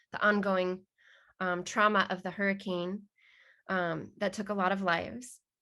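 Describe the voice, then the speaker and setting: Against a quiet background, a woman speaks at a moderate pace in a bright, sharp tone with monotone, flat intonation. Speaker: trauma therapy trainer. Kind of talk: webinar talk.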